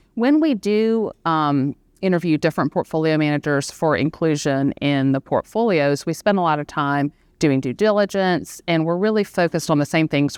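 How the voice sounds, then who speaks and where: A woman with a Southern US accent, very deep and low in pitch, ordinary pitch variation, moderate pace, dry, close sound with no echo, quiet background. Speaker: equity strategist and panel moderator. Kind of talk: panel discussion moderation. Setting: live event with audience in room.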